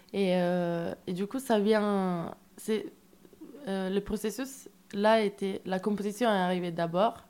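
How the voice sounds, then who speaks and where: Her pace is very slow. The woman speaks at a medium pitch with ordinary pitch variation. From Italy. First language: Italian (speaking French). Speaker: musician, storyteller in a band. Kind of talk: radio interview. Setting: radio studio.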